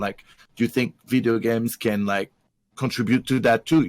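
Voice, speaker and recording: In a dry, close recording with no echo, very clean and with a silent background, a man with a non-native accent speaks at medium pitch with ordinary pitch variation. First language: not English. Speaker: streamer, parent. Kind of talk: casual chat. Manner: halting.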